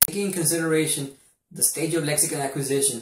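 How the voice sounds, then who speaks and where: A man talks at a very fast pace with fairly high pitch. His intonation stays fairly even. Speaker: university student. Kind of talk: class presentation. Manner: formal.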